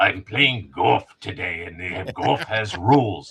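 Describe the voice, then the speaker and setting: A man's put-on character voice, fairly low in pitch and fairly slow. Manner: stern, playing to win.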